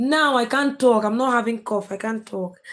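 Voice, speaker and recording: Speaking at a moderate pace with ordinary pitch variation, a woman with a Nigerian accent has a high pitch, recorded very cleanly against a silent background. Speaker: live streamer, content creator. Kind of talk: live stream chat with viewers. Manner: casual, chatty.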